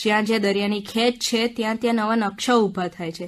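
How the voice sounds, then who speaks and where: A woman talks with an ordinary speaking voice. Her pitch is fairly high. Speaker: radio book-review presenter. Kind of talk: radio book review narration. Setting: radio studio.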